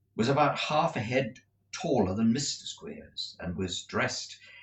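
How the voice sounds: Intonation here is lively. It is a natural reading voice.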